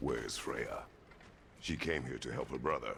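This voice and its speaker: Over clear background noise, a man puts on a character voice at a moderate pace. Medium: video game. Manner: terse.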